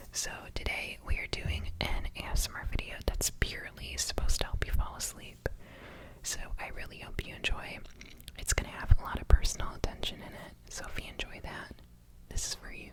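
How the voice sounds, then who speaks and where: A whispering voice moves at a fairly quick pace amid noticeable background noise. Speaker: ASMR creator. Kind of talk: casual talk to camera.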